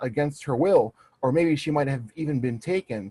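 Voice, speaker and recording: A man's fairly high, somewhat breathy voice. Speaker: interview guest, researcher. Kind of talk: interview. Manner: halting.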